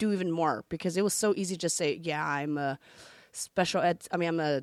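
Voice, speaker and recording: A woman speaks at a moderate pace with ordinary pitch variation, recorded very cleanly against a silent background with a dry, close sound and no echo. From San Francisco, US West Coast. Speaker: teacher. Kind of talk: interview. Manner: casual, conversational.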